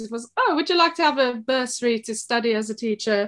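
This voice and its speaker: Against a quiet background, a woman with a South African accent speaks at a fairly quick pace. She has a fairly high pitch and ordinary pitch variation. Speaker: shop co-owner and former teacher. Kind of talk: podcast interview. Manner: hesitant, many fillers.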